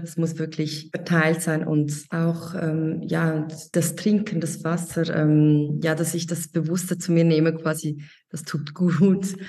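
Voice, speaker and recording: With a Swiss accent, a woman with a fairly low pitch speaks at a very slow pace in a monotone, flat intonation, with audible room echo. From Switzerland. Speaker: mentoring participant, online shop owner. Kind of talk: interview. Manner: halting.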